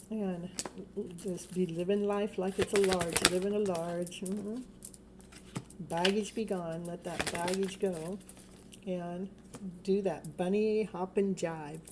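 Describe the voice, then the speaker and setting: A woman at medium pitch, very slow and monotone, with long, frequent pauses and noticeable background noise. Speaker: tarot reader. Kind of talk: live stream tarot reading. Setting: home live stream at night. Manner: loud; lowered voice.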